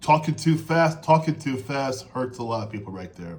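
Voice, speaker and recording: The man's voice is fairly high in pitch and somewhat breathy. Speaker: interview coach. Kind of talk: coaching advice monologue. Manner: fast.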